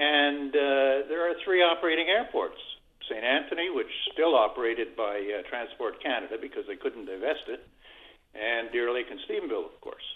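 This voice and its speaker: Big swings in loudness from a man with a Newfoundland accent. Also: moderate pace. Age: 80s+. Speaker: caller. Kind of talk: call-in talk. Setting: phone call. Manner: halting.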